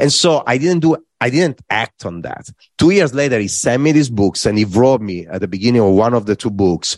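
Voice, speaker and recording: A man with an Italian accent talks at a fairly quick pace in a medium pitch, his voice swinging very widely in pitch, with a dry, close sound, no echo and a quiet background. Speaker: corporate design executive. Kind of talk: interview.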